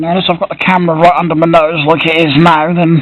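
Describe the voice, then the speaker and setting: The speaker talks at a fairly quick pace in an English accent. Noticeable background noise can be heard. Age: 30s. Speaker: Lego collector and YouTuber. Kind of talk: casual vlog monologue. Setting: home, camera close to face. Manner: speaks loudly to compensate for camera; hesitant, many fillers. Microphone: built-in camera mic, quiet audio.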